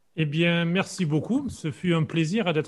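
This man has a plain, everyday voice. He talks at a fairly slow pace with fairly high pitch. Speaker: podcast host. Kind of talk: podcast interview.

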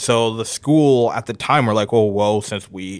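An American-accented man with a fairly low pitch and ordinary pitch variation, in a very clean recording with a silent background. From Haiti, then Minnesota from age six. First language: Haitian Creole. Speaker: interviewee sharing life story, painter. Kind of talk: personal storytelling. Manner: casual, many fillers.

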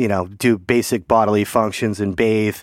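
A man's voice at medium pitch moves at a moderate pace on a very clean recording with a silent background. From Portland, Maine. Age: 40s. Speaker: singer-songwriter and band frontman. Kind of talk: casual interview chat. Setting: home studio.

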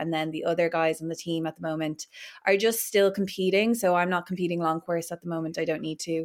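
On a very clean recording with a silent background, a woman with an Irish accent speaks at a fairly low pitch with monotone, flat intonation. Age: 20s. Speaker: Paralympic swimmer. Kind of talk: casual chat.

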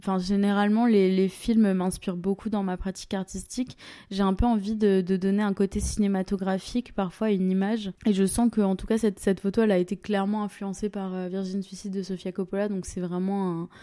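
On a very clean recording with a silent background, a woman with a medium pitch and a dark, mellow tone speaks at a fairly quick pace with monotone, flat intonation and hardly any pauses. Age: 20s. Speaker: photographer. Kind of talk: interview. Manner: hesitant, filler words.

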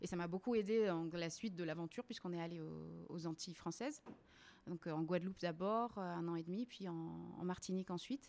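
A woman speaks in an unremarkable speaking voice at a fairly low pitch. Her pace is fairly quick, with ordinary pitch variation. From La Réunion. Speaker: website co-founder. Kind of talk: casual interview. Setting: at the host's home.

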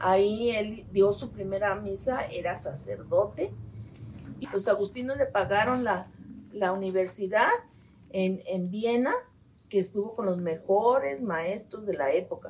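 A woman's medium-pitched voice, fairly slow, with ordinary pitch variation and noticeable background noise. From Mexico, Guadalajara, Jalisco. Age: 60s. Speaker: medical geneticist. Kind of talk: interview. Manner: halting.

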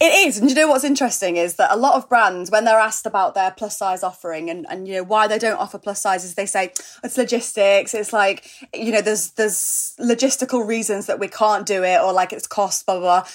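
A woman with an unremarkable speaking voice talks fairly quickly, with ordinary pitch variation. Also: fairly high pitch for a woman, hardly any pauses. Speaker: podcaster and author. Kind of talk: casual chat.

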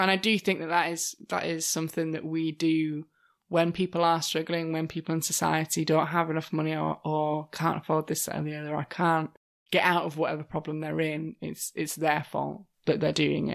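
A woman with a British accent speaks at a very deep, low pitch and a fairly quick pace. Her intonation is monotone and flat, in a very clean recording with a silent background. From Britain. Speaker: podcast co-host. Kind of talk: casual chat.

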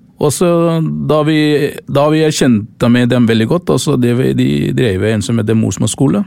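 A man speaks at a fairly slow pace in a medium pitch, with lively intonation, very even loudness and a dark, mellow tone. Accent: Tamil. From Sri Lanka. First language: Tamil (speaking Norwegian). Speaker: volunteer charity leader. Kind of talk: interview. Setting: studio. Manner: halting.

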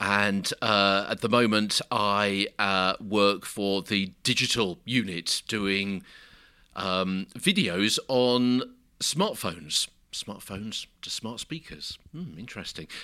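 At a very slow pace, a man with a British accent speaks with a fairly low pitch and ordinary pitch variation. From UK. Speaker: broadcaster and social media producer. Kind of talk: interview. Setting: hotel room.

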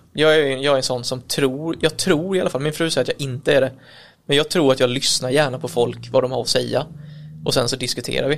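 At a fairly quick pace, a man with a fairly high pitch speaks with vocal fry and fairly even intonation. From Kalmar, Sweden. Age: 30s. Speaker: electrician and business owner. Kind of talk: casual interview. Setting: recorded on location at an office.

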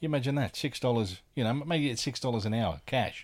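A man with an Australian accent speaks very fast at a medium pitch. His intonation is lively, and the recording is very clean with a silent background. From Australia, Adelaide. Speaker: comedian and podcaster. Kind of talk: casual chat.

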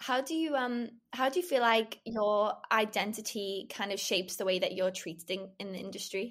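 A woman with a plain, everyday voice speaks at a moderate pace with hardly any pauses, fairly high in pitch and with ordinary pitch variation, on a very clean recording with a silent background. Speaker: podcast host. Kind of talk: casual interview chat.

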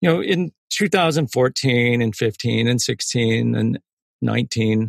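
A man with an American accent, recorded with a dry, close sound and no echo. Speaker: former government intelligence analyst. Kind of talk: interview. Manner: halting.

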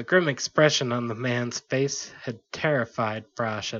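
The pitch moves in an ordinary way. The text is read aloud in a natural voice.

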